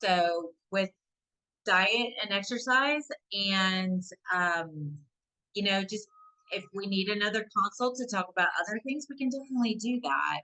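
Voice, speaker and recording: A woman's medium-pitched voice at a fairly slow pace, lively in intonation, with long, frequent pauses. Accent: Southern US. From US South. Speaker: nurse practitioner. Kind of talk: webinar Q&A. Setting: online webinar.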